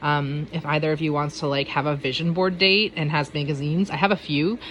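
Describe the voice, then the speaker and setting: Delivery comes at a fairly quick pace. Pitch moves with ordinary variation. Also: woman. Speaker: planner vlogger. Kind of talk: casual walkthrough. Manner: fast; hesitant, many fillers.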